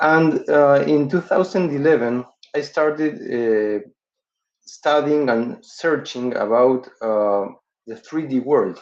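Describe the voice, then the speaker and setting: With a Spanish accent, a man at medium pitch talks at a fairly slow pace with ordinary pitch variation. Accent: non-native English, Spanish-accented. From Uruguay. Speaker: dental surgeon and professor. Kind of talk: webinar lecture. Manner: halting, frequent fillers.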